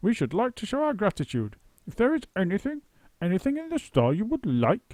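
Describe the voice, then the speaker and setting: In a put-on character voice, the speaker moves at a fairly quick pace with very wide pitch swings, recorded very cleanly over a silent background with a dry, close sound and no echo. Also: man, high pitch for a man. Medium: read story. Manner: pompous, effusive.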